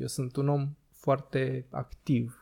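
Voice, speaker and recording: A man's fairly high-pitched voice, dark and mellow in tone and somewhat breathy. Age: 20s. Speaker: podcast host. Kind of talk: casual chat. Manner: animated.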